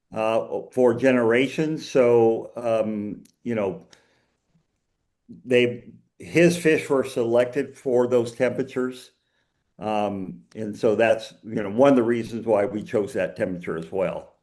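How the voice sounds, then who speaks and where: A man with an American accent talks at a medium pitch and a fairly slow pace. His pitch varies in an ordinary way, and the room echo is audible. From United States. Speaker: fish biologist, researcher. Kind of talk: Q&A after a lecture.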